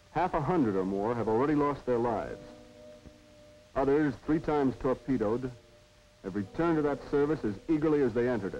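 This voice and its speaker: Music plays in the background as a man talks fairly quickly. His medium-pitched voice carries lively intonation. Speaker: narrator. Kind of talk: documentary narration.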